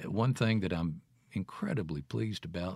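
A man with a Mississippi accent speaks in a very deep, low pitch at a moderate pace. His pitch variation is ordinary, and the recording is very clean with a silent background. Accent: Mississippi Southern. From Jackson, Mississippi, US South. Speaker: radio host and broadcaster. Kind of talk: casual interview. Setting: studio.

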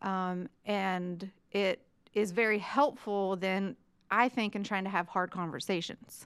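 A woman with an unremarkable speaking voice and an American accent talks at a fairly slow pace. Her pitch is medium and her intonation fairly even. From West Virginia. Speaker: economics professor. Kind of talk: casual chat.

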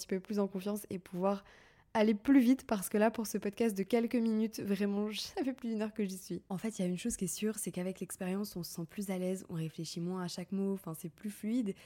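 A dark, mellow tone at a fairly quick pace, with fairly even intonation, on a very clean recording with a silent background. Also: woman. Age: 30s. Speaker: podcast host, content creator. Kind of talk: casual monologue.

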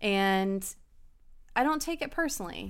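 A woman with an American accent, medium pitch and lively intonation. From Hampton Roads, Virginia (military family). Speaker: law enforcement officer. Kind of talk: casual chat.

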